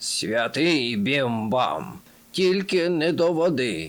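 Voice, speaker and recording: Speaking very slowly in a raspy, put-on character voice, a man keeps to a medium pitch with very wide pitch swings. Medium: read story. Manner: gloomy, complaining.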